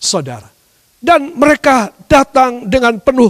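A man at an extremely high pitch with ordinary pitch variation, at a fairly slow pace against a quiet background. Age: 60s. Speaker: pastor. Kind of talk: sermon. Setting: church service, live streamed. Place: church.

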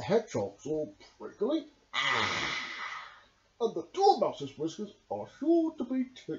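Using a put-on character voice pitched high, a man speaks at a fairly slow pace with long, frequent pauses.

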